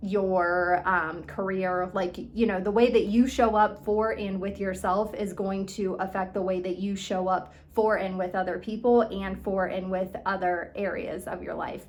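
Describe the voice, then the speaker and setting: Audible room echo surrounds a woman of medium pitch. She speaks at a fairly slow pace with hardly any pauses and monotone, flat intonation. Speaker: eating disorder recovery coach. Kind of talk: motivational talk. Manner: casual, filler-heavy.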